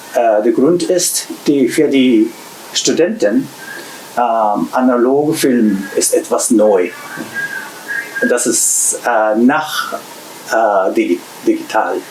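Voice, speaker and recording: Over noticeable background noise, a man with a Japanese accent speaks at a very slow pace with long, frequent pauses and very even loudness. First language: Japanese (speaking German). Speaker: shop owner and repair technician. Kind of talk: interview. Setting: in a shop. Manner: halting.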